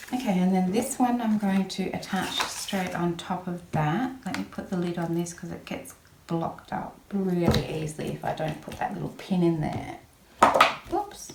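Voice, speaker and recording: Mumbling at a moderate pace, a woman at medium pitch with ordinary pitch variation speaks in an Australian accent, with audible room echo and noticeable background noise. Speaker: papercraft video maker. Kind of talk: crafting tutorial. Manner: mumbling a bit; casual, chatty.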